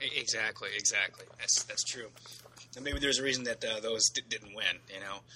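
Loudness swings widely as a man talks at a fairly quick pace. Noticeable background noise is present. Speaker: podcast co-host, movie reviewer. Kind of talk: casual chat, profane banter. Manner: casual, enthusiastic.

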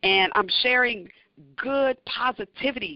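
An ordinary speaking voice, this woman talks at a moderate pace with a fairly high pitch, ordinary pitch variation and an American accent. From US South, northern Louisiana. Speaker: university athletic director. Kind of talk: interview.

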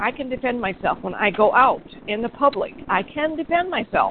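The speaker talks at a moderate pace with lively intonation. Noticeable background noise runs underneath. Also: woman. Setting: phone call.

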